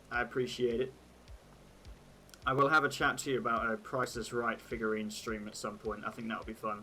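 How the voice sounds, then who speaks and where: Music plays in the background as a man at medium pitch speaks with fairly even intonation and long, frequent pauses. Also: fairly quick pace. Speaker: streamer. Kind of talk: casual chat. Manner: casual, chatty.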